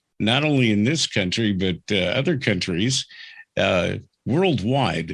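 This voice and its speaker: A man with a plain, everyday voice and a fairly low pitch speaks at a fairly slow pace with lively intonation. His loudness is very even, and the background is quiet. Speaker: podcast host, radio veteran. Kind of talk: interview host, casual conversational.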